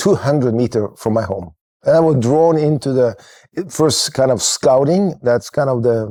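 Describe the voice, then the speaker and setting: With a Norwegian accent, a man speaks in a dark, mellow tone on a very clean recording with a silent background. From Norway, Kristiansand. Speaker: church network leader. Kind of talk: podcast interview. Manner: halting.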